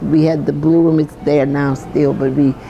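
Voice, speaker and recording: A woman's very deep, low voice at a moderate pace, monotone and flat in intonation, with music in the background. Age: 80s+. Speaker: chef and restaurant owner. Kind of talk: interview answer. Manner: storytelling.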